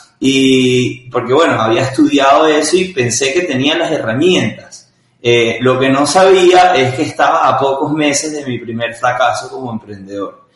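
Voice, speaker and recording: Speaking fairly slowly with a Venezuelan accent, a man has a fairly high pitch and ordinary pitch variation. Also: hardly any pauses. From Venezuela, Caracas. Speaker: startup founder and CEO. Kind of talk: interview.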